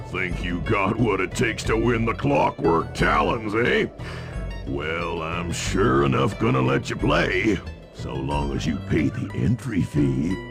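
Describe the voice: A man's cartoonish character voice, low in pitch with a fairly bright tone, vocal fry, lively intonation and a slow pace, over faint music in the background.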